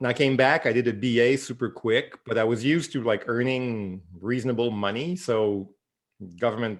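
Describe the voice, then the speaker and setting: With a Quebec French accent, a man speaks at a moderate pace and medium pitch, with ordinary pitch variation. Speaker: novelist. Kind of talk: interview. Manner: halting, many repeats.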